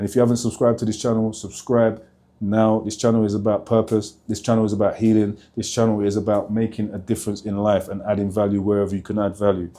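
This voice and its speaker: With a London accent, a man talks at a very fast pace in a dark, mellow tone, leaving hardly any pauses. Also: very clean recording, silent background. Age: 40s. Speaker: motivational speaker, former prisoner. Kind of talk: vlog to camera. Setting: outdoors outside a prison. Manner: energetic.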